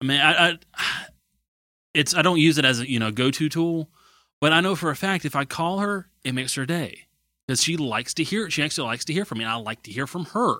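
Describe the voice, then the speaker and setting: Over a silent background in a very clean recording, a man speaks very fast with lively intonation and a bright, sharp tone. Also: fairly high pitch for a man. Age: 20s. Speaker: podcast co-host. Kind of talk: casual chat.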